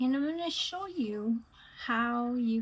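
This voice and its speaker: Her delivery is very slow, and the woman's voice carries a somewhat breathy quality. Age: 60s. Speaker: beauty vlogger. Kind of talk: makeup tutorial. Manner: hesitant, many fillers.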